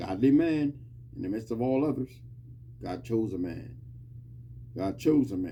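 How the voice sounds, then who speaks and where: A man talks at a moderate pace with noticeable noise in the background. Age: 60s. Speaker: podcast host giving Bible talk. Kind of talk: informal Bible teaching monologue. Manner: repetitive, emphatic.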